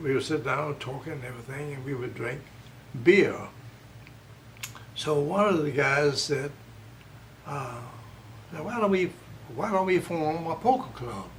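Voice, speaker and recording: A man's fairly high voice with lively intonation, a fairly slow pace and long, frequent pauses, over noticeable background noise. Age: 80s+. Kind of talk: interview answer. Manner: spry, spunky.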